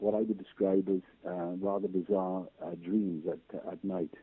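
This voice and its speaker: A man's very deep, low voice in a Welsh accent, with fairly even intonation and a moderate pace. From Wales. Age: 70s. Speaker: patient sharing medical experience. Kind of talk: interview testimony. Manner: hesitant, many fillers.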